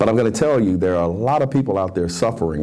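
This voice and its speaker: A man talks with a Memphis accent and lively intonation. There is noticeable background noise and audible room echo. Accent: Southern US (Memphis) English. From US South. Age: 60s. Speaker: talk show host. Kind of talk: opinion commentary. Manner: animated.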